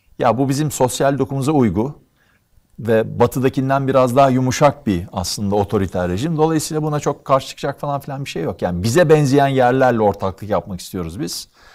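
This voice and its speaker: A man with lively intonation at a fairly quick pace, over a quiet background. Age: 60s. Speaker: economist; guest. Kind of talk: interview conversation; interview answer. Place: studio.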